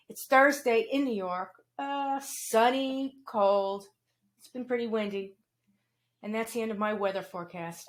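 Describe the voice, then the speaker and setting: A woman with a fairly high voice and a plain, everyday voice speaks at a fairly slow pace with ordinary pitch variation and big swings in loudness, on a very clean recording with a silent background. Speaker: podcast host. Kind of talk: interview host talk.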